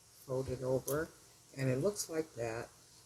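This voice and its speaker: Over noticeable background noise, a woman speaks in a very deep, low pitch. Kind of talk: tutorial. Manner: casual, chatty; mumbling at times.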